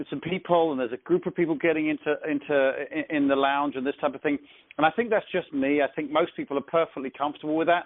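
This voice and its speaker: This man speaks with an English accent. His pitch is fairly high, with ordinary variation. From England. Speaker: network marketing team leader. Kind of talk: conference call training. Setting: phone conference call.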